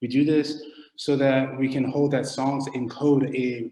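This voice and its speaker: Audible room echo surrounds a man speaking with a Philadelphia accent. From US, Philadelphia. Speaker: academic researcher. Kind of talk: lecture. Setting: online video call.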